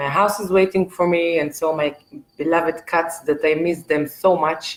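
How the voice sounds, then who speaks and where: A woman's very deep, low voice with an Israeli accent and fairly even intonation. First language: Hebrew. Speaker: artist. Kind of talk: live stream monologue. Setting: art gallery, live video stream. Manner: hesitant, many fillers.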